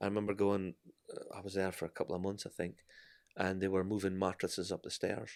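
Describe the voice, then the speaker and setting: A man speaks with a Scottish accent. His pitch is fairly low and his pace fairly quick. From Scotland. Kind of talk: testimony.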